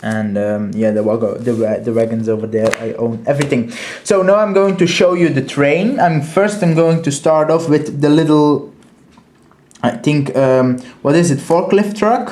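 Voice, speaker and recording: Audible room echo surrounds a man speaking at a moderate pace. His fairly high voice makes very wide pitch swings. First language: Dutch. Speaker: toy collector reviewer. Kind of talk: product review. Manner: halting, many fillers.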